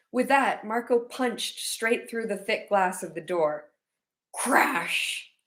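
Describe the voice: A woman's put-on character voice, hoarse and fairly high-pitched, with lively intonation at a fairly slow pace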